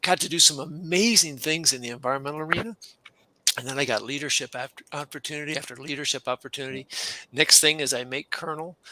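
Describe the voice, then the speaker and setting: Words come at a very fast pace with ordinary pitch variation and a dry, close sound with no echo. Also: man, fairly high pitch for a man. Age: 60s. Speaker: career coach and retired Air Force colonel. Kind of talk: casual interview.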